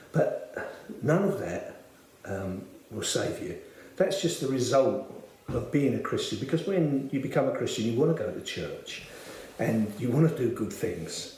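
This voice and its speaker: A man with a South London accent talks at a fairly slow pace. Noticeable background noise and audible room echo surround him. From South London, Bermondsey. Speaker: church member. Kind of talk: testimony. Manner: hesitant, many filler words.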